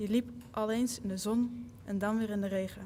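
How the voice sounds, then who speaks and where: A dark, mellow, somewhat breathy voice delivers its words in a flat monotone. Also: woman. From Netherlands. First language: Dutch. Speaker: college basketball player. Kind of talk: reading aloud.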